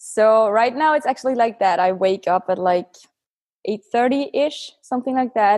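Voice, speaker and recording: A woman with an ordinary speaking voice talks at a moderate pace, fairly high in pitch with ordinary pitch variation. The background is quiet. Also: very even loudness. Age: 20s. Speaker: calisthenics athlete. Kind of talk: interview.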